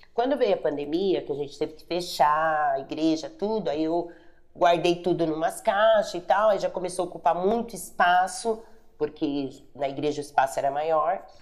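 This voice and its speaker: This woman, pitched fairly low, uses a normal speaking voice at a moderate pace. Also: ordinary pitch variation. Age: 50s. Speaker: pastor and online bazaar seller. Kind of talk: interview testimony.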